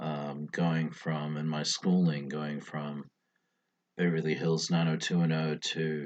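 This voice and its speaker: A man with an American accent and a very deep, low voice speaks at a very slow pace with monotone, flat intonation. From Hong Kong and New Zealand, Samoan-born. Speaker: vlogger. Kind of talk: personal video journal. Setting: at home. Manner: halting.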